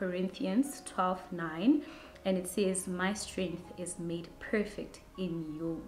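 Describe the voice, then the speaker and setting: Very slow speech from a woman, audible room echo and light background noise around her. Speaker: vlogger. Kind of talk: casual vlog chat. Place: home room.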